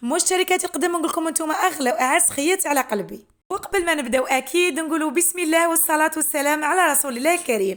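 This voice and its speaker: A woman with an Algerian accent at an extremely high pitch, very fast, her loudness very even. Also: ordinary pitch variation. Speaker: homemaker and mother; psychologist. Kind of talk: casual talk to camera, home routine vlog.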